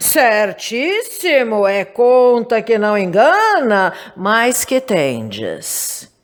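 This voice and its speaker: Using a put-on character voice, a woman speaks very slowly with hardly any pauses, her fairly high pitch carrying lively intonation. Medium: read story. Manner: blunt, brusque.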